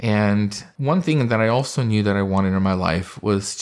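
A man with an American accent and a plain, everyday voice speaks at a fairly slow pace with a fairly low pitch. The recording is very clean, with a silent background. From California. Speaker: dermatologist. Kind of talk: interview.

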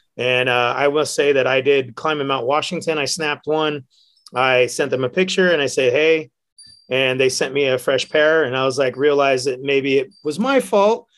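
A man with a normal speaking voice and an American accent, fairly high in pitch, with ordinary pitch variation at a moderate pace. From San Francisco Bay Area, California. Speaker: bartender and hiker. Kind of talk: casual chat. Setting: studio.

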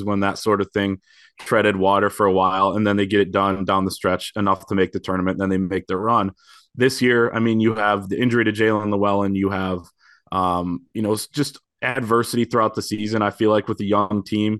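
A man at a fairly quick pace with flat, monotone intonation. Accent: American. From Michigan, Grand Rapids. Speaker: sports writer. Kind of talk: casual chat.

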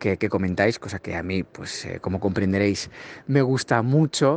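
An ordinary speaking voice from a man, fairly low in pitch, at a moderate pace, with a dry, close sound and no echo. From Spain. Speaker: fellow podcaster. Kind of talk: recorded congratulatory audio message.

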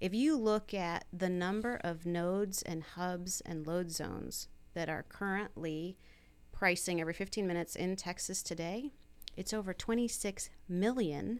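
A woman with a normal speaking voice and an American accent talks at a fairly slow pace and medium pitch, with ordinary pitch variation, on a very clean recording with a silent background. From upstate New York (Herkimer). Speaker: energy industry executive. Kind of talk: casual interview. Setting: studio.

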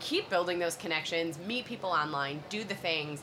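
Amid noticeable background noise, a woman with a fairly low voice speaks fairly quickly with lively intonation. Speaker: podcast host. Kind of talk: casual chat. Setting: live at a conference.

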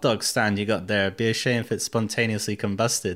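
Intonation stays fairly even at a moderate pace. The recording is very clean, with a silent background. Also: man. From Russia, raised partly in US and UK. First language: Russian. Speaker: author and former drug dealer. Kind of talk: casual interview.

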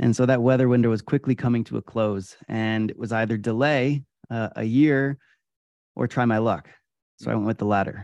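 In a dry, close sound with no echo and a quiet background, a man with an American accent and an unremarkable speaking voice talks at a fairly quick pace with ordinary pitch variation. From upstate New York, Adirondacks. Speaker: endurance athlete and keynote speaker. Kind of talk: interview.

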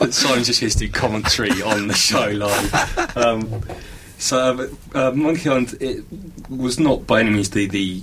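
A man talks at a medium pitch with very even loudness. Noticeable background noise runs behind him. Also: ordinary pitch variation, moderate pace. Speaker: panelist discussing games. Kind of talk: casual group chat. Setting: radio studio.

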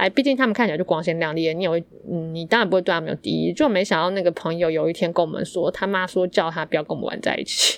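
A woman with vocal fry speaks at a very fast pace. Her pitch is fairly low, with ordinary variation. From Yilan, Taiwan. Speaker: podcast co-host. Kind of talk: casual chat.

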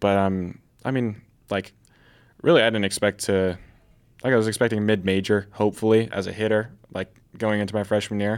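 Against a silent background in a very clean recording, a man with an American accent talks at a fairly quick pace, broken by long, frequent pauses. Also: fairly low pitch for a man, fairly even intonation. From Oregon. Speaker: baseball player. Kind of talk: interview.

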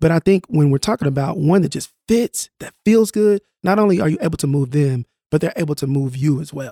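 A man's fairly high, dark, mellow voice with an American accent at a fairly quick pace, the sound dry and close with no echo. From North Tulsa, Oklahoma, US. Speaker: mentor trainer. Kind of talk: casual interview.

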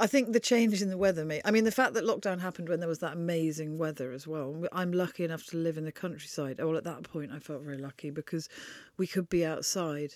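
Very fast woman's voice, fairly low in pitch, on a very clean recording with a silent background. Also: ordinary pitch variation. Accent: southern English. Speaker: author and journalist. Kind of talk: casual interview. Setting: in-person recording.

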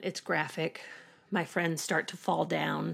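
In a very clean recording with a silent background, a woman speaks with a Southern US accent. Her pitch is fairly low and carries vocal fry. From rural Arkansas, US South. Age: 30s. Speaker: actress, school shooting survivor. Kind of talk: interview testimony.

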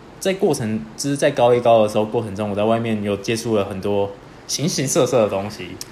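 A fairly low-pitched male voice with ordinary pitch variation and long, frequent pauses. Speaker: podcast co-host. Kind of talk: casual chat.

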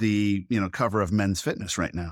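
A man talks at a fairly low pitch with fairly even intonation. The sound is dry and close, with no echo. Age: 50s. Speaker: entrepreneur and CEO. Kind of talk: interview. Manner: halting.

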